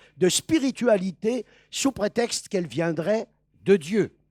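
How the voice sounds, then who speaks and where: Over a very clean recording with a silent background, a man speaks at high pitch with lively intonation. The sound is dry and close with no echo, and his pace is very slow. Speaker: preacher. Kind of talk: sermon. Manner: deliberately slowed and articulated.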